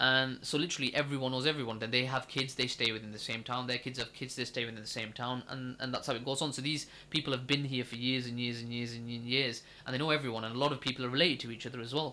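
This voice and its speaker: On a very clean recording with a silent background, a man with a Lancashire accent talks very fast with hardly any pauses, his medium-pitched voice bright and sharp in tone and his intonation monotone and flat. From northern England, Accrington (Lancashire). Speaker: podcast co-host. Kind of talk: casual chat.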